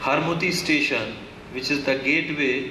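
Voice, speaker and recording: A man keeps his intonation fairly even while noticeable background noise carries on. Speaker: event announcer. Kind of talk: formal welcome address at official ceremony. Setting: public event hall with PA system. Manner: formal. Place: hall. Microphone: podium.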